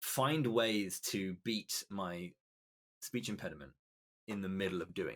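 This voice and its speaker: A man with a British accent speaks at a fairly low pitch and a fairly slow pace, using long, frequent pauses. His pitch variation is ordinary, and his loudness swings widely. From Britain. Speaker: esports commentator. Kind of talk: podcast interview. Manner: halting.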